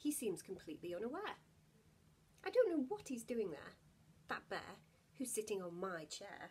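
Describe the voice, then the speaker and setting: A somewhat breathy woman's voice, fairly high in pitch with very wide swings, warm and gentle in tone, at a moderate pace with long, frequent pauses. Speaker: actor reading bedtime story. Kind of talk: bedtime story reading aloud to children. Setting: home video, lockdown. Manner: warm, gentle, animated storyteller; playful, lilting rhythm with rhymes. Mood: warm, gentle, expressive. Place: home room. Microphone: phone near.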